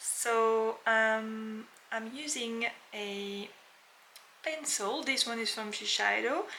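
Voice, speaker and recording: A woman with a French accent speaks at a very slow pace and a fairly high pitch with ordinary pitch variation. Long, frequent pauses and audible room echo fill the clip. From France. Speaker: makeup artist. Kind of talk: tutorial. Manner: casual, with frequent fillers.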